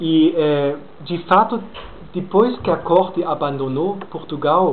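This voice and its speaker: At a very slow pace, a man talks in a high voice with ordinary pitch variation, over noticeable background noise and audible room echo. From Brazil, Minas Gerais. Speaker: lecturer. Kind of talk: lecture Q&A. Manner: deliberately slowed pace; hesitant, many fillers.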